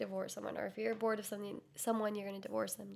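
Against noticeable background noise, a woman of medium pitch speaks at a very fast pace with ordinary pitch variation. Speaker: podcast co-host. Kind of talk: casual chat.

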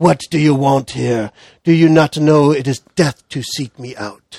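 Growling in a put-on character voice, a man speaks at fairly high pitch. His pace is moderate. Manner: snarling, hateful.

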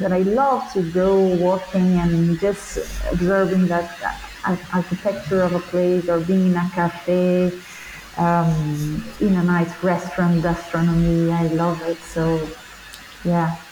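Very slow, monotone, flat delivery in a Portuguese accent at very even loudness, with noticeable background noise. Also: woman, fairly low pitch for a woman. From Brazil. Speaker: performing artist and teacher. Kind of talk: interview. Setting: remote call.

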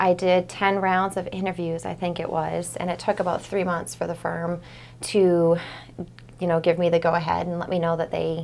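Talking at a moderate pace in an ordinary speaking voice, a woman with an American accent keeps her fairly low pitch in fairly even intonation. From Maine, US (Portland area). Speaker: financial advisor. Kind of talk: casual interview.

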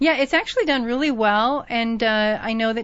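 Here is an ordinary speaking voice from a woman, pitched fairly high. She keeps a moderate pace with ordinary pitch variation. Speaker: radio host. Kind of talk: radio interview. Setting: radio studio.

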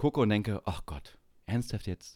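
A man with a fairly low pitch and vocal fry talks at a moderate pace on a very clean recording with a silent background. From eastern Germany, Saxony-Anhalt. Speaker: podcast host. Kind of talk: casual chat.

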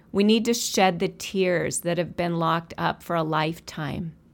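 The very clean recording, with a silent background, carries a woman in a normal speaking voice, fairly low in pitch, fairly slow, and fairly even in intonation. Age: 60s. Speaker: podcast host and counselor. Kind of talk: monologue.

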